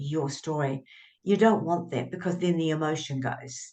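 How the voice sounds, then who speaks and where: A woman with a New Zealand accent speaks at a moderate pace in a very deep, low voice with ordinary pitch variation. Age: 70s. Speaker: author and writing coach. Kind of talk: interview conversation.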